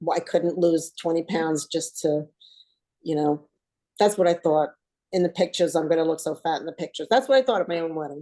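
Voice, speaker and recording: A woman with a New Jersey accent, fairly low pitch, a dark, mellow tone and ordinary pitch variation, over a quiet background. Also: fairly quick pace. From US Northeast, New Jersey. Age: 60s. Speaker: weight loss coaching client. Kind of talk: casual interview chat.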